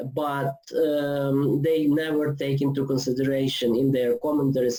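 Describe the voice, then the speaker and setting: A man with a dark, mellow tone talks at a fairly slow pace. His intonation stays fairly even. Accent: non-native. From Ukraine. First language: Ukrainian. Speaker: theology lecturer. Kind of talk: online lecture. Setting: online video seminar. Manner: hesitant, many fillers.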